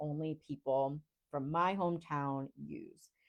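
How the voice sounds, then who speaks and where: A woman talks in a dark, mellow tone with an American accent. The background is quiet. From Rhode Island, US. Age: 40s. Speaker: coach, podcast host. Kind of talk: live Q&A talk. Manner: deliberately slow, articulate.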